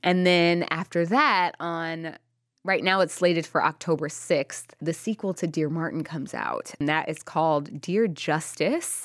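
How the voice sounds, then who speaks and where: In a very clean recording with a silent background, a woman with a plain, everyday voice speaks at a fairly low pitch and fairly slow pace, with fairly even intonation. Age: 30s. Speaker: author. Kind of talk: interview.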